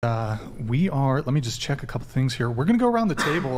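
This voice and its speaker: With lively intonation at a medium pitch, a man talks through noticeable background noise and audible room echo. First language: French. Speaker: podcast host. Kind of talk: casual chat.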